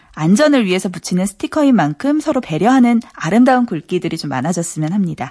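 Speaking at a very fast pace with hardly any pauses, a woman has a dark, mellow, somewhat breathy tone. Her pitch swings very widely. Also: medium pitch for a woman. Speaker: radio news reporter. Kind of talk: news segment on radio.

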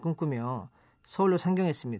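With ordinary pitch variation, a man uses a normal speaking voice pitched fairly high. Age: 40s. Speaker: company founder. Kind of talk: radio talk. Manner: formal.

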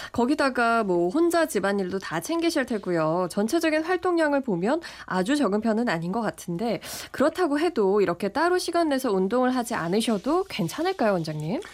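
The pitch swings very widely while loudness stays very even. The pace is moderate. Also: woman, fairly high pitch for a woman. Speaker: radio host. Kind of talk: radio health show presenting. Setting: studio.

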